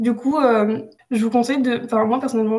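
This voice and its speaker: A woman speaks very fast at a fairly high pitch, with monotone, flat intonation. Audible room echo surrounds her voice. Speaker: student tutor. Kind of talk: lecture. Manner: hesitant, many fillers.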